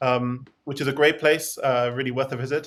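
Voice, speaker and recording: Speaking fairly quickly in an English accent, a man uses a fairly high pitch and fairly even intonation. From England. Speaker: singer and music theory expert. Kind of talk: interview.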